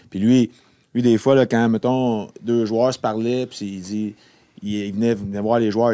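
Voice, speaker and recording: A man's voice sits at medium pitch with a dark, mellow tone. His intonation is monotone and flat, his pace moderate. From Quebec. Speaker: retired pro hockey player. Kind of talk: casual chat.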